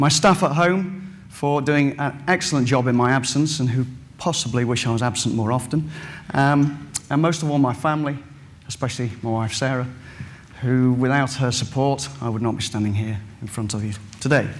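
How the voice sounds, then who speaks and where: A man with an English Midlands accent speaks at a medium pitch with ordinary pitch variation, and the room echo is audible. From England, Derbyshire. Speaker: farmer and farming scholar. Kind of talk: conference presentation. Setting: stage with audience. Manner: fast.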